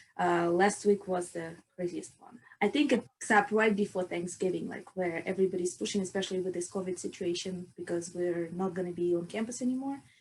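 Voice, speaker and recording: In a Russian accent, the speaker moves at a fairly quick pace with hardly any pauses, ordinary pitch variation and big swings in loudness. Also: woman, medium pitch for a woman. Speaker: chemical engineering student and researcher. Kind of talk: podcast interview.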